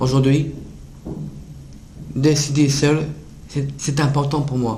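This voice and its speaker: A man's fairly high voice at a very slow pace, monotone and flat, with audible room echo. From northern France, near Dunkirk. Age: 20s. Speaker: self-advocate with Down syndrome. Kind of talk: prepared public speech. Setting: international conference. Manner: halting, some repetitions.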